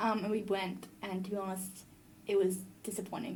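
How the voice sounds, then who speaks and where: The speaker has an Australian accent and an animated tone, moving at a moderate pace. Audible room echo and noticeable background noise fill the recording. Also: woman. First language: French. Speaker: podcast host. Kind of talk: casual chat.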